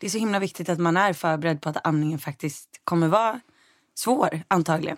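Over a silent background on a very clean recording, a woman talks at a very fast pace with lively intonation. The sound is dry and close, with no echo. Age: 20s. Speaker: lifestyle blogger and editor. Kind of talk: casual interview chat.

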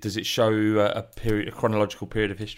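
Speaking very fast, a man with a British accent talks in a fairly low pitch. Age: 30s. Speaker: podcast host. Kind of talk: interview. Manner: halting, many fillers and repetitions.

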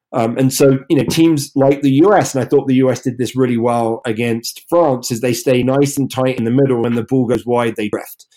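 With a dark, mellow tone, a man speaks at a moderate pace with fairly even intonation and hardly any pauses. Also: medium pitch for a man, very clean recording, silent background. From England. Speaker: rugby podcast co-host and coach. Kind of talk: casual chat.

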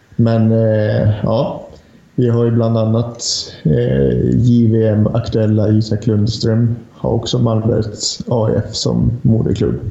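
Audible room echo and noticeable background noise surround a man speaking at a very slow pace and a medium pitch, with fairly even intonation and very even loudness. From Lapland, northern Sweden. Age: 30s. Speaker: hockey journalist. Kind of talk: casual chat.

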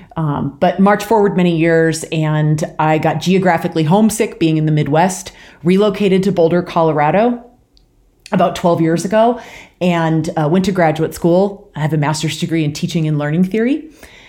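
With an American accent, a woman talks at a moderate pace in a fairly low pitch, her dark, mellow tone showing ordinary pitch variation. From rural Washington State, US Pacific Northwest. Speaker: bike brand marketing head. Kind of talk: interview.

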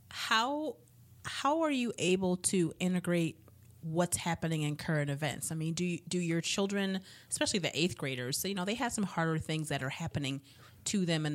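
Lively intonation carries an unremarkable speaking voice at a fairly quick pace. The background is silent in this very clean recording. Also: woman. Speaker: podcast host. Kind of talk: casual interview.

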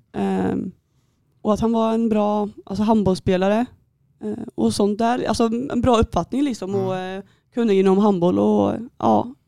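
The speech keeps a moderate pace, broken by long, frequent pauses. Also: woman. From Västergötland, Sweden (near Skara). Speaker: handball goalkeeper. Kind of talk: casual interview.

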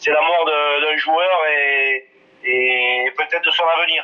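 Very slowly, a man speaks in a fairly high voice with fairly even intonation. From southwest France, Ariège. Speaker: former rugby player and coach. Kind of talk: interview. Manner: halting, many hesitations.

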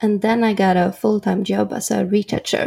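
In a Swedish accent, a woman speaks at a fairly slow pace. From Sweden, Norrköping. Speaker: photographer. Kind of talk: interview.

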